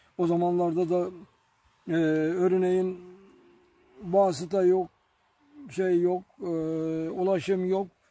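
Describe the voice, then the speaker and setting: A man's high-pitched voice with a dark, mellow tone, very slow delivery, and dry sound with no echo. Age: 80s+. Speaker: village elder. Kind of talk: interview answer, life story. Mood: reminiscing, calm, occasionally smiling. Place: garden.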